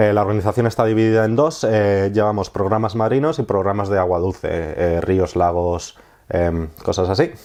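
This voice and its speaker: In a Madrid accent, a man talks at a moderate pace with a fairly low pitch, a dark, mellow tone, very even loudness and ordinary pitch variation. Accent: Castilian Spanish (Madrid). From Spain. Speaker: marine conservationist, project manager. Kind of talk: interview answer.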